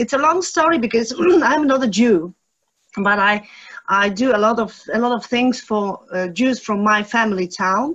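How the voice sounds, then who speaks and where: The speaker has a Polish accent and lively intonation. The pace is moderate. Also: woman, fairly high pitch for a woman. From Poland (Rybnik). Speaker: audience member, local historian. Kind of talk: Q&A question. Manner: halting.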